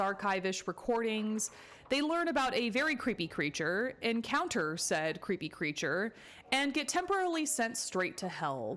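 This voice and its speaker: A woman speaks at a moderate pace with very even loudness and very wide pitch swings, with noticeable background noise behind her. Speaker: therapist. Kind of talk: casual commentary to camera.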